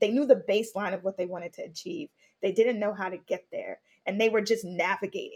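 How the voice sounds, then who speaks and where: A woman with an American accent talks at a very fast pace in a fairly high, somewhat breathy voice, with ordinary pitch variation, big swings in loudness and a dry, close sound with no echo. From Brooklyn, New York. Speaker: podcaster and faith leadership coach. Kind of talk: casual discussion.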